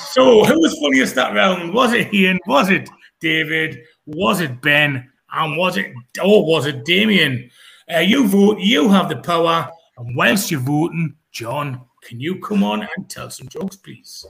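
A man with a Geordie accent speaks in a high pitch, his bright, sharp tone swinging very widely in pitch and heavily in loudness. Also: fairly slow pace. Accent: Geordie drawl. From northern England (Newcastle). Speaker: comedy show host. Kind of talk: online comedy show hosting.

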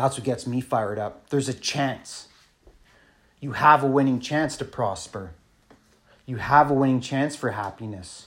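In a Canadian accent, a man speaks at a moderate pace with a medium pitch, an animated tone and ordinary pitch variation, leaving long, frequent pauses. The recording is very clean, with a silent background. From Canada, northern Ontario (Thunder Bay). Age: 40s. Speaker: entrepreneur vlogger. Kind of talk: casual rant monologue.

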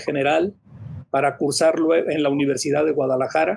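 Here a man speaks with a fairly high pitch. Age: 40s. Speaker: surgeon and campus rector. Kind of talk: panel discussion. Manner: halting, frequent fillers.

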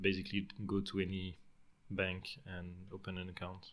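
A French accent colors this man's speech. He talks at a fairly low pitch. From southern France, Marseille. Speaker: software engineer and project manager. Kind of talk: interview.

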